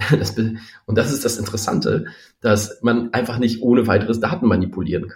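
The speaker is somewhat breathy and fairly quick, with ordinary pitch variation and big swings in loudness. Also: man, medium pitch for a man. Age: 40s. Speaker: startup founder. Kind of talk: interview.

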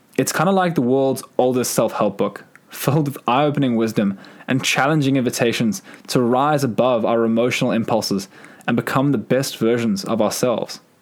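Amid noticeable background noise, a man at a medium pitch talks at a fairly quick pace with very even loudness. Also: ordinary pitch variation. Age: 20s. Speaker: podcast host. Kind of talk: reflective monologue.

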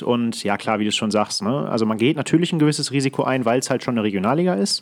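A man with a medium-pitched voice is speaking. His pace is very fast. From Ruhr area, Germany (Datteln). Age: 20s. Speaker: hockey referee. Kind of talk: casual chat. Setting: video call.

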